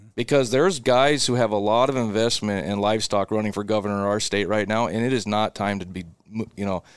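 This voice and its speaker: Against a quiet background, a man with a Midwestern American accent speaks fairly low and at a fairly quick pace, with ordinary pitch variation. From Nebraska, Seward area. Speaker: cattle business owner. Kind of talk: casual interview.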